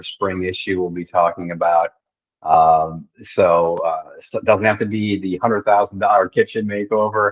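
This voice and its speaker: A man's fairly low voice moves at a moderate pace in a monotone, flat intonation. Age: 60s. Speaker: magazine publisher. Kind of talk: casual chat.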